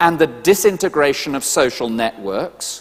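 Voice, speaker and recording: A man with a British accent speaks at a fairly slow pace with lively intonation. Background noise is noticeable. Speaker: preacher. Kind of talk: sermon.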